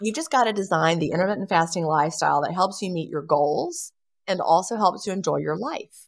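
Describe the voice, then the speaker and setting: A woman with a normal speaking voice talks at a fairly quick pace and a fairly low pitch. Her pitch variation is ordinary, and the recording is very clean with a silent background. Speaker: bestselling author. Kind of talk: interview answer.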